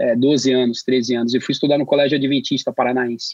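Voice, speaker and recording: A man talking at a very fast pace. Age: 50s. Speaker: graphic production professional. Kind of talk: casual chat.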